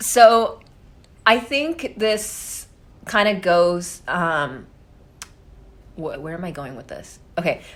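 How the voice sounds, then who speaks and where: A woman speaks at a very slow pace and medium pitch, with long, frequent pauses. Her pitch swings very widely, and so does her loudness. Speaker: podcast guest. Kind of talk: casual chat. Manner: loud and clear; confident, direct.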